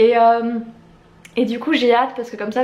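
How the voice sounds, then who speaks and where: At a moderate pace, a woman with a fairly high pitch speaks amid audible room echo and noticeable background noise. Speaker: YouTuber and novelist. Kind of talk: casual vlog talk. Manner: loud, shouty; hesitant with filler.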